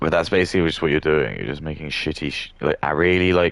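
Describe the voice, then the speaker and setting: A man's voice with vocal fry, in an English accent. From England. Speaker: gaming streamer. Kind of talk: casual livestream rant. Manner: halting.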